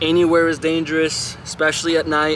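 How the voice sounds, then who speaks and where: Noticeable background noise behind a man with a fairly high pitch. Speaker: vlogger. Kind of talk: casual vlog talk to camera.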